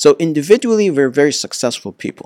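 A man talks at a fairly high pitch in an ordinary speaking voice. The recording is very clean, with a silent background. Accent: American. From United States, childhood partly in Egypt. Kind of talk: interview.

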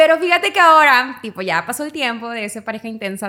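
On a very clean recording with a silent background, a woman uses a raised, projected voice. Her tone is bright and sharp, and her pace is moderate. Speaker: podcast host. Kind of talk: casual chat.

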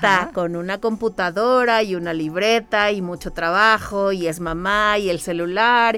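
A woman of medium pitch with an unremarkable speaking voice talks at a moderate pace with hardly any pauses. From Mexico City. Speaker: entrepreneur and mother. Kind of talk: radio interview. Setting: radio studio.

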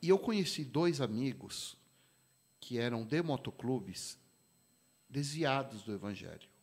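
A man at medium pitch with lively intonation, a fairly slow pace and long, frequent pauses, on a very clean recording with a silent background. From São Paulo, east zone (Vila Carrão). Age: 50s. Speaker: pastor and motorcycle club president. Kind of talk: casual interview chat.

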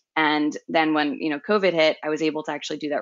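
A woman with an American accent, a very deep, low pitch and a fairly quick pace. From Long Island, New York. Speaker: remote tech worker, expat. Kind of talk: casual interview chat.

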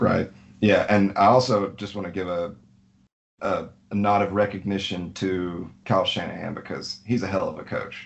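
Speaking in a Southern US accent, a man keeps a monotone, flat intonation at a fairly low pitch. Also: moderate pace. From Alabama. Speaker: fantasy football league member. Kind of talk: casual chat.

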